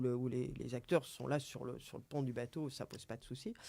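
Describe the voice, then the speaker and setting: A man's dark, mellow voice at a moderate pace on a very clean recording with a silent background. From northern France, Seine valley. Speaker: member of a local boating association. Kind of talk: radio interview. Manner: halting, many repetitions.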